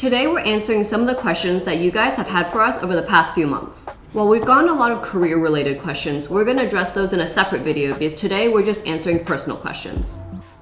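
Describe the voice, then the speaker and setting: Through noticeable background noise and audible room echo, a woman rattles along at a very fast pace with hardly any pauses, her medium pitch carried by lively intonation. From California, US. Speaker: YouTuber, former lawyer. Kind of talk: casual Q&A.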